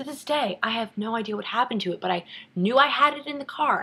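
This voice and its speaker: A woman's animated, fairly high-pitched voice at a very fast pace, with lively intonation over noticeable background noise. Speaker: vlogger. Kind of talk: casual chat.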